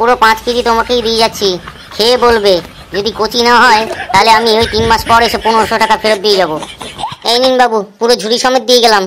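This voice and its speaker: A cartoonish character voice runs along at a fairly quick pace. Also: woman, fairly high pitch for a woman. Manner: deferential salesman, calls customers babu.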